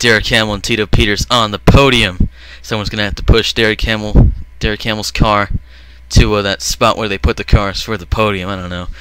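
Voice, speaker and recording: Amid noticeable background noise, a man talks at a fairly quick pace in a fairly low pitch, with ordinary pitch variation and big swings in loudness. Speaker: gaming youtuber commentating simulated races. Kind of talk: live commentary. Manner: animated.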